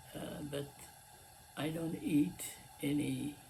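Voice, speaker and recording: A man talks very slowly while noticeable background noise is audible. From Lebanon. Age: 80s+. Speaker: cooking channel host. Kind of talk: casual talk to camera. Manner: halting, many fillers.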